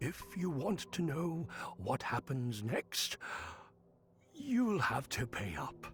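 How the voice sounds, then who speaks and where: A man performs a put-on character voice at a very slow pace. His pitch swings very widely, with long, frequent pauses. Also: fairly high pitch for a man. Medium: video game. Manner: chuckling, wheedling.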